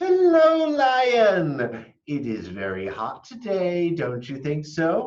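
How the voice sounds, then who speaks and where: Using a put-on character voice, a man speaks very slowly at a high pitch with hardly any pauses. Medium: read story. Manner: sly, wheedling.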